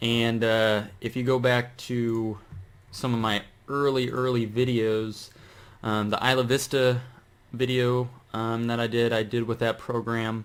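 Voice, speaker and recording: A man at a fairly slow pace, with monotone, flat intonation. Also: medium pitch for a man. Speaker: YouTuber. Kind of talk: tutorial. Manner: slow with long pauses; casual, hesitant with many fillers.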